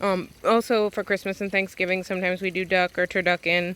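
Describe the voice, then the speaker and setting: A woman talks at a fairly quick pace in a bright, sharp tone at medium pitch, with monotone, flat intonation. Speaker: homesteader vlogger. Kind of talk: casual vlog walkthrough. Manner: fast.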